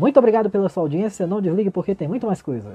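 A man talks in a high pitch while music plays in the background. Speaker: radio announcer. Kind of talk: radio music show hosting. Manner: upbeat, friendly.

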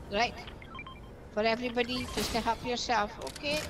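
A woman speaks at a moderate pace and a fairly high pitch with fairly even intonation, over noticeable background noise. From Scotland. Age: 70s. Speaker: gamer. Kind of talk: casual gaming chat with teammates.

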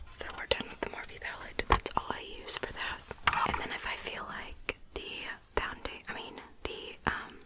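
Loud background noise accompanies a woman speaking at a moderate pace. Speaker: beauty vlogger. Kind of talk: casual makeup tutorial chat. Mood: relaxed, self-deprecating.

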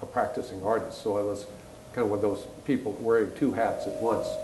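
A man's voice has audible room echo. Light background noise runs beneath it. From Canada. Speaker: retired art historian and artist. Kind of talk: panel conversation. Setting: stage with audience. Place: stage.

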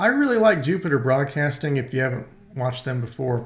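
At a moderate pace, a man talks in a somewhat breathy voice with ordinary pitch variation. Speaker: screencast host. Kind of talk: tutorial. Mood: enthusiastic recommendation.

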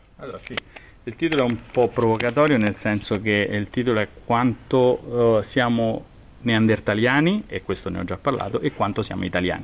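A man with a medium pitch speaks at a moderate pace with ordinary pitch variation over noticeable background noise. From Rome, central Italy. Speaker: genetics professor. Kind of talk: expert interview explanation. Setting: recorded in person at his university department.

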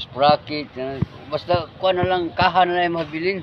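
There is loud background noise. A man is speaking. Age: 70s. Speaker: cyclist. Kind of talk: interview answer. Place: garden. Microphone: phone near.

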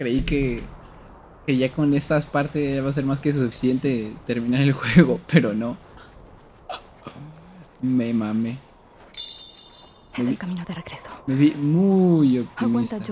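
Over light background noise, a man speaks with ordinary pitch variation and long, frequent pauses. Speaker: game streamer. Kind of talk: casual gameplay commentary. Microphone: headset.

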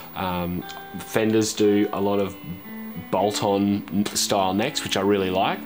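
A man's very deep, low voice with fairly even intonation over clear music in the background. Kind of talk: interview answer. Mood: relaxed, friendly. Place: garage.

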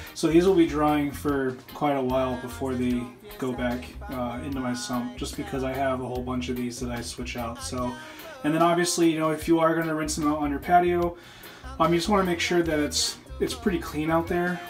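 The speech runs at a fairly quick pace with clear music in the background. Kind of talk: tutorial. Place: bathroom. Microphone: phone near.

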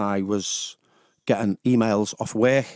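In a Liverpool accent, a man speaks at a fairly low pitch with monotone, flat intonation, the sound dry with no echo over a quiet background. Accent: Liverpool (Scouse). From Liverpool, England. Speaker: radio DJ. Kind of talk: personal testimony in a radio interview. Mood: candid, reflective about addiction. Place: studio. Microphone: studio mic.

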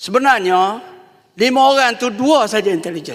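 With lively intonation, the man keeps a moderate pace. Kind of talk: parliamentary clarification. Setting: parliament chamber.

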